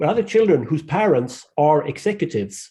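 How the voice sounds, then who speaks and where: A man speaks at a fairly quick pace with lively intonation and a fairly high pitch. His tone is dark and mellow, somewhat breathy. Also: quiet background. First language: not English. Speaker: podcast panel guest. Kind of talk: panel discussion. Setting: group call.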